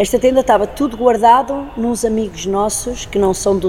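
A woman's voice with fairly even intonation at a moderate pace over noticeable background noise. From Portugal, Lisbon. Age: 50s. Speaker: circus artist. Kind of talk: interview.

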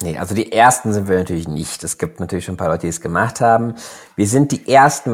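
The man has an unremarkable speaking voice, set at a fairly low pitch with lively intonation. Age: 30s. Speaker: startup founder. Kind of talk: interview. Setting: online recording.

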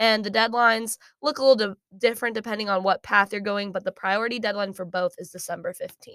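In an American accent, a woman with a plain, everyday voice speaks at a fairly high pitch with ordinary pitch variation, the sound dry and close with no echo. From Kansas. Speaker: honors college student. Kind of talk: interview. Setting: studio.

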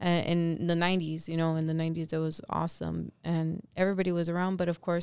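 A woman with a Californian accent at fairly low pitch, moderate pace and monotone, flat intonation, on a very clean recording with a silent background. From Los Angeles. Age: 30s. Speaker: cleaning business co-owner. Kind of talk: casual interview.

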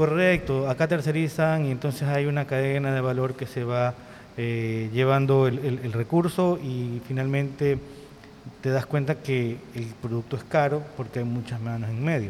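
Against noticeable background noise, a man speaks at a fairly slow pace with a medium pitch and fairly even intonation. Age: 50s. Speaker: tourism professionals association president. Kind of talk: casual interview.

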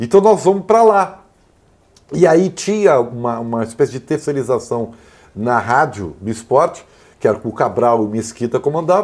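A man speaks at a moderate pace and medium pitch. His pitch swings are very wide. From Rio Grande do Sul, Brazil (Santa Maria). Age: 50s. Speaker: sports journalist and commentator. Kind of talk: casual chat.

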